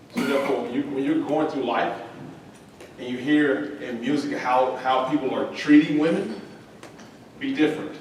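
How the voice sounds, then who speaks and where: A man with a Southern US accent speaks at a moderate pace, his pitch fairly high and its variation ordinary. Long, frequent pauses come through over noticeable background noise and audible room echo. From North Central Florida. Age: 30s. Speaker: former college football quarterback. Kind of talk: motivational talk to young athletes. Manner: animated.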